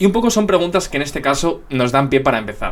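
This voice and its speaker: A man is speaking. His pace is very fast. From Spain. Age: 20s. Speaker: YouTuber, NBA commentator. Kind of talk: casual Q&A chat to camera. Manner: casual, lots of fillers.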